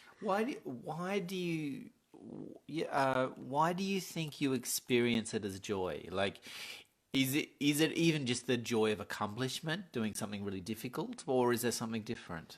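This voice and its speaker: The speaker has an Australian accent and a moderate pace, with very wide pitch swings. The recording is very clean, with a silent background. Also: man, medium pitch for a man. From Tasmania, Australia. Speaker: poet and podcast co-host. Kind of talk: casual chat.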